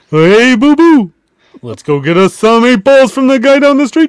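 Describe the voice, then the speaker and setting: The man's put-on character voice climbs to an extremely high pitch. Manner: cartoonish.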